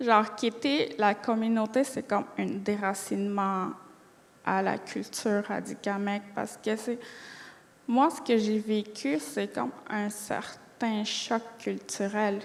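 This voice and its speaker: A woman with a Quebec accent, fairly high in pitch, with ordinary pitch variation and a very slow pace. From Atikamekw community, Quebec. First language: Atikamekw (speaking French). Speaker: college student. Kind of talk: interview. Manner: hesitant; fluent.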